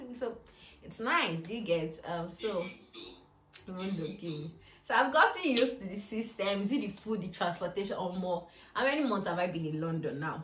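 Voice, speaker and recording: There is noticeable background noise and audible room echo. A woman at a medium pitch speaks at a moderate pace with lively intonation. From Nigeria. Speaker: YouTuber. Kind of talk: casual Q&A vlog. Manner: chatty, filler-heavy.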